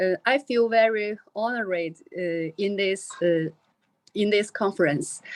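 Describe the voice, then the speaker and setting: A woman's fairly high voice with a Chinese accent at a fairly slow pace, ordinary pitch variation, a very clean recording with a silent background, and a dry, close sound with no echo. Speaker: researcher. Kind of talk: conference talk. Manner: halting.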